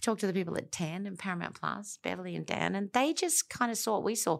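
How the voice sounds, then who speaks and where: Talking at a very fast pace with vocal fry, a woman with an Australian accent is heard on a very clean recording with a silent background. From South Australia (Elizabeth). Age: 50s. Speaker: film and TV producer. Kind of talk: interview.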